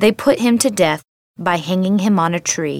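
A woman speaks in a plain, everyday voice, fairly low in pitch and with ordinary pitch variation. Her fairly slow delivery has a dry, close sound with no echo. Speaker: scripture reader. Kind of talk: scripture reading, solemn liturgical proclamation. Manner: formal, measured, reverent.

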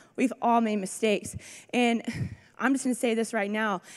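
A woman speaks in an ordinary speaking voice with a fairly high pitch. The recording is very clean, with a silent background. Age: 20s. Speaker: rehab program student. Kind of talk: testimony. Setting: church with audience.

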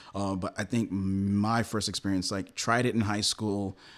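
With a New York accent, a man speaks at a moderate pace in a fairly low pitch with fairly even intonation on a very clean recording with a silent background. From New York City. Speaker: magazine founder and editor. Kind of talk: casual interview.

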